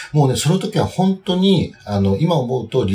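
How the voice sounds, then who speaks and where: Very wide pitch swings in a man's fairly high voice, at a moderate pace. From Japan, Kyoto. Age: 40s. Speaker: tailor. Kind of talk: interview.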